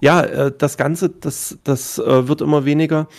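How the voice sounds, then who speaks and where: This man speaks at a very slow pace. His intonation stays fairly even. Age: 30s. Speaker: streamer. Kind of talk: casual chat.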